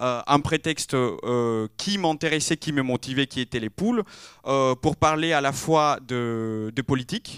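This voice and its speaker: A man's fairly high voice with a non-native accent, ordinary pitch variation and a fairly slow pace, dry and close with no echo on a very clean recording with a silent background. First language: not French (speaking French). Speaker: interior architecture graduate. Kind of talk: round table talk. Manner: halting, many fillers.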